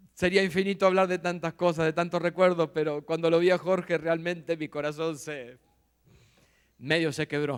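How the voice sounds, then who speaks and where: A very clean recording with a silent background, delivered at a moderate pace. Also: man, high pitch for a man, fairly even intonation. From Argentina, Buenos Aires. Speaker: visiting pastor. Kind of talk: sermon. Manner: serious.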